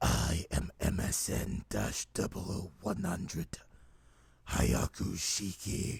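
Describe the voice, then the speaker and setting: Putting on a character voice, a man speaks very slowly at a very deep, low pitch. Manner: serious, stoic.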